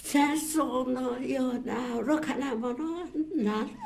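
This is a woman speaking. Her pitch is high. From Nagasaki Prefecture, Japan. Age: 80s+. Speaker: atomic bomb survivor. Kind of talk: personal testimony. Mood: grave, emotional. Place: meeting room. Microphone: podium.

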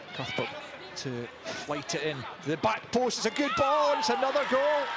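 Over noticeable background noise, a man talks at a moderate pace in an extremely high pitch. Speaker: match commentator. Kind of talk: live match commentary.

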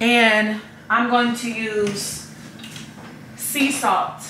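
A woman speaks at a very slow pace, her pitch fairly high with little movement. Her tone is bright and sharp, and the room echo is audible.

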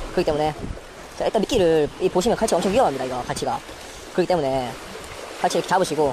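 This man speaks very fast in a dry sound with no echo, with noticeable background noise present. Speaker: fishing youtuber. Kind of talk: outdoor fishing vlog with tutorial commentary. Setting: outdoors on a breakwater at night. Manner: casual, thinking aloud. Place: waterside. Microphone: phone near.

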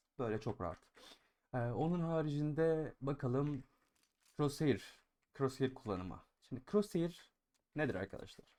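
A man with a fairly high voice and a dark, mellow tone talks at a fairly slow pace with lively intonation and long, frequent pauses. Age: 20s. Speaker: gaming YouTuber and streamer. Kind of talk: gaming tutorial. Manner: casual, filler-heavy.

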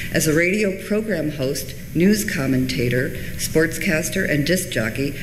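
The pitch variation is ordinary. Noticeable background noise runs behind the voice. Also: woman. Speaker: reference librarian and archivist. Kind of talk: conference presentation. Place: hall. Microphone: podium.

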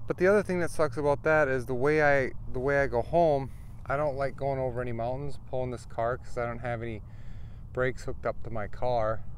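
Audible room echo colors this man's voice. He talks at a fairly quick pace, at a medium pitch with ordinary pitch variation. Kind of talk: casual vlog talk to camera. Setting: outdoors in desert RV camp.

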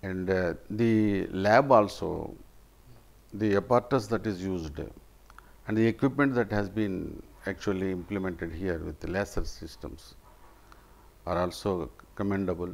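Speaking at a moderate pace with long, frequent pauses, a man with a Telugu accent uses a fairly low pitch and ordinary pitch variation. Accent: Indian English (Telugu region). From India (Andhra Pradesh). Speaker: retired government officer, patient. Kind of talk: patient testimonial. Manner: halting, with frequent fillers. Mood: grateful, appreciative. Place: home room. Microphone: lapel.

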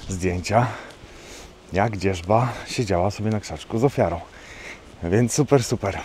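Over light background noise, a man with a fairly low pitch and ordinary pitch variation speaks in a dry sound with no echo. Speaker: nature photographer vlogger. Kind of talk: casual vlog chat. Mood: cheerful, relaxed. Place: open country. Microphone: phone near.

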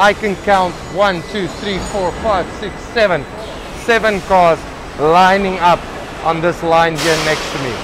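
A man with a high pitch speaks at a fairly slow pace, his intonation fairly even. Background noise is clearly audible. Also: few pauses.

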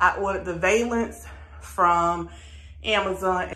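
With audible room echo, a woman talks at a very slow pace in a bright, sharp tone, her pitch varying in an ordinary way. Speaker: home decor vlogger. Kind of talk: casual vlog chat. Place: bathroom. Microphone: phone near.

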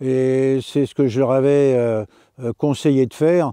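The man's medium-pitched voice has a dark, mellow tone, recorded with a dry, close sound and no echo. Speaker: karate teacher. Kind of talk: interview. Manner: halting.

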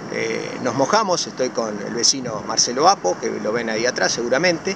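Over noticeable background noise, a man speaks at a fairly slow pace with very wide pitch swings, the sound dry and free of echo. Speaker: fishing vlogger. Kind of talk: casual vlog chat. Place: beach. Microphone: phone near.

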